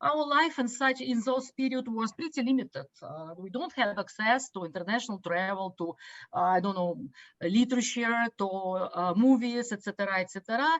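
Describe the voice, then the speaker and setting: The speech moves at a moderate pace with lively intonation, in a Russian accent. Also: woman, fairly high pitch for a woman. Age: 50s. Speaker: business educator. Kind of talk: online talk. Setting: video call. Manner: halting, many fillers.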